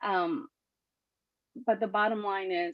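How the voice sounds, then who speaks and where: With a Spanish accent, a woman speaks at a medium pitch with ordinary pitch variation, the sound dry and close with no echo. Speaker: political candidate. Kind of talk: campaign speech at a party meeting. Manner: animated, with frequent fillers and repetitions.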